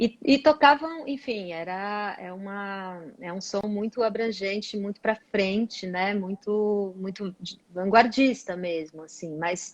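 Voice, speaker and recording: The loudness rises and falls sharply as the words come out very slowly with hardly any pauses and ordinary pitch variation. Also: woman, medium pitch for a woman. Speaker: singer. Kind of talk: interview.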